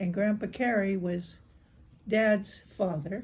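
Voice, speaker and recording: A woman's somewhat breathy voice has a dark, mellow tone, a medium pitch and ordinary pitch variation, heard with audible room echo. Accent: American. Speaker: older woman recounting family history. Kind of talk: oral history interview. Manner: halting.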